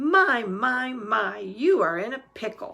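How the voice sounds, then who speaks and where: A put-on character voice growls in a fairly high pitch. The pace is fairly slow. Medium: read story. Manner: calm, soothing.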